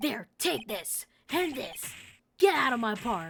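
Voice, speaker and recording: A female-sounding put-on character voice, fairly high in pitch, swings very widely. The pace is fairly slow. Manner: irritated, dismissive.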